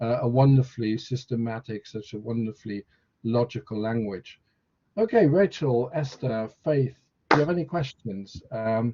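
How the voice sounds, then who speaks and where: A Dutch-accented man talks at a moderate pace with a medium pitch. His tone is dark and mellow and somewhat breathy. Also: ordinary pitch variation, dry, close sound with no echo. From Netherlands. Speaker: university lecturer. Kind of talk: online information session. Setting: video call.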